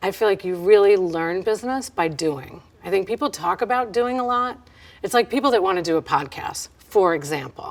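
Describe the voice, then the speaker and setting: Lively intonation in a New York accent. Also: woman, medium pitch for a woman, moderate pace. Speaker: business owner and consultant. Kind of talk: interview answers. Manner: direct, loud-seeming.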